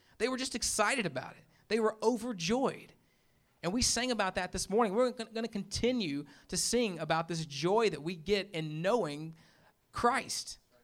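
A man with a Memphis accent speaks at a moderate pace in a high pitch, with lively intonation and big swings in loudness. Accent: Southern US (Memphis). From US South, Memphis, Tennessee. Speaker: pastor. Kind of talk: sermon. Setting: church with congregation. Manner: casual, conversational.

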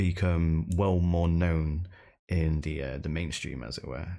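Here a man speaks with a British accent. His pitch is very deep and low. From UK. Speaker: podcast host and streamer. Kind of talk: casual interview chat. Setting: remote call across time zones.

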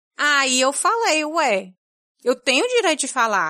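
A woman's raised, projected voice, high in pitch and bright, sharp in tone, with very wide pitch swings. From Brazil, Fortaleza, Ceará. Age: 30s. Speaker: podcast editor and producer. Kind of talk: casual interview conversation. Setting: video call.

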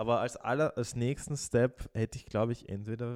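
A man speaks at medium pitch and an even, moderate rate in a plain, everyday voice, the recording very clean with total silence behind him. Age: 20s. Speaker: podcast co-host. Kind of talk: casual chat.

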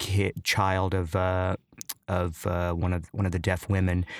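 The recording is very clean, with a silent background and a dry, close sound with no echo. A man talks at a moderate pace in a very deep, low voice. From US Midwest, Chicago southwest side. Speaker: clown and actor. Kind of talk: casual interview. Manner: halting, many fillers.

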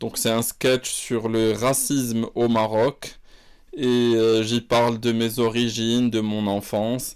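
A man at a medium pitch speaks at a very slow pace in a very clean recording with a silent background. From Morocco. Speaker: podcaster and comedian. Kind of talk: casual monologue. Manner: halting.

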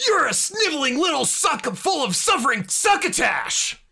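A man shouts in a put-on character voice at an extremely high pitch. His pitch swings very widely at a moderate pace. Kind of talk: comic overacting. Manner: shouting, mocking, cartoonish villain.

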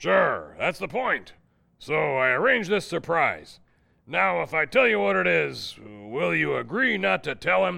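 Medium in pitch, a man speaks at a moderate pace. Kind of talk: 1940s radio comedy acting. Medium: audio drama. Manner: brusque, bossy, short clipped sentences.

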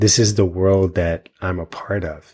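A calm man with an American accent and a very deep, low pitch, somewhat breathy and monotone, on a very clean recording with a silent background. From US Virgin Islands (St. Thomas). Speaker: intuitive healer. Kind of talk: interview conversation.

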